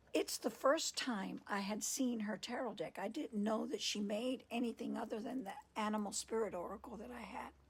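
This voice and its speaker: Whispering at a moderate pace, a woman sounds soft-spoken and somewhat breathy. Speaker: podcast host and tarot reader. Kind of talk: casual storytelling monologue. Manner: whispering, soft.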